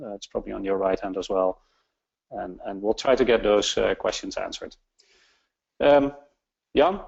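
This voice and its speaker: A man with a Dutch accent at a moderate pace, with long, frequent pauses. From Netherlands. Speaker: webinar host. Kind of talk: webinar introduction. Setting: online webinar. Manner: halting, many fillers.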